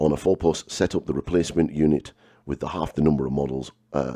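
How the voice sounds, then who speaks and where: A man talks at a very fast pace in a very deep, low voice with vocal fry. His pitch rises and falls in an ordinary way. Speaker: miniature painting and wargaming video host. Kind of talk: casual talk to camera.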